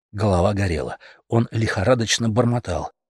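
On a very clean recording with a silent background and a dry, close sound with no echo, a man speaks at a fairly quick pace with a fairly low pitch, lively intonation and a slightly husky edge.

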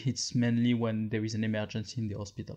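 The speaker has a French accent, heard over a quiet background. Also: man. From France. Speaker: podcast host, medical device expert. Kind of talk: monologue. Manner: halting.

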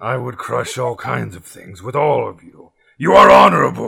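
A raspy, put-on character voice moves at a moderate pace. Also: man. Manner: blunt, broken speech.

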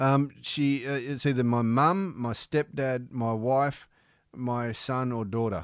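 This man has a plain, everyday voice at medium pitch with ordinary pitch variation. The recording is very clean, with a silent background. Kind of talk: casual mates' banter, laughing at himself. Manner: wry, quick, easygoing, self-deprecating.

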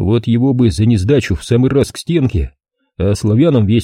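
An unforced voice reads with ordinary pitch variation. Little sound comes from the background.

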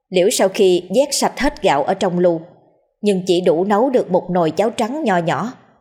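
With lively intonation, someone is reading aloud in a natural voice against a quiet background.

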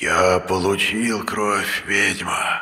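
Putting on a character voice, a man speaks raspily at a fairly low pitch. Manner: hissing, loud, menacing.

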